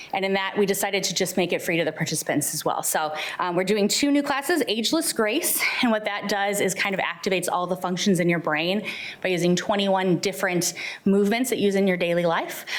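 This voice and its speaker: A woman talks at a very fast pace with ordinary pitch variation, with audible room echo and noticeable background noise. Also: medium pitch for a woman. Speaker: senior center program staff. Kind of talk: presentation at public meeting. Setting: city hall board meeting. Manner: animated.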